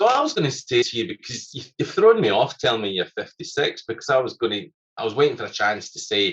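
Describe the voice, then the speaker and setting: Here a man talks in a Scottish accent. His pace is very fast. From Scotland. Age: middle-aged. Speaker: environmental scientist and musician. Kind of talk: casual chat.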